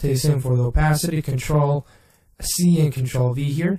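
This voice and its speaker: Somewhat breathy speech in a dark, mellow tone at a moderate pace. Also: man. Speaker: video effects tutorial maker. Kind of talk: tutorial. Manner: halting, with self-corrections.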